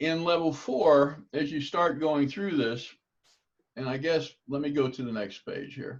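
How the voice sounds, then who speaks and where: A man with a fairly high pitch talks at a fairly slow pace in a normal speaking voice, his pitch varying in an ordinary way. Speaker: table tennis coach. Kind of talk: lecture.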